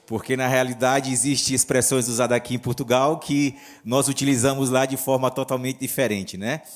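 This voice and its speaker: A northeastern Brazilian accent with fairly even intonation at a moderate pace. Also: man. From northeast Brazil. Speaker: pastor. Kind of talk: sermon.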